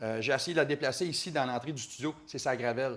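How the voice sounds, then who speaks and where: Speaking at a fairly quick pace in a Quebec accent, a man shows ordinary pitch variation. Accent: Québécois French. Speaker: motorcycle journalist. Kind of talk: casual chat. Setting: studio.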